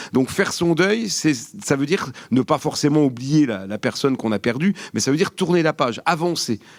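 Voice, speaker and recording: A man with a Vosges accent speaks at a fairly high pitch with lively intonation. He barely pauses at all. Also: moderate pace. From France, Vosges. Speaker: geography academic, panelist. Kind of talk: panel discussion. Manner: hesitant, many fillers.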